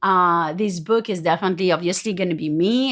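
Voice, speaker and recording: A woman with a French accent speaks at medium pitch and a moderate pace, with ordinary pitch variation, in a very clean recording with a silent background. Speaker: business coach and speaker. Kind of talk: podcast monologue. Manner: halting, many fillers.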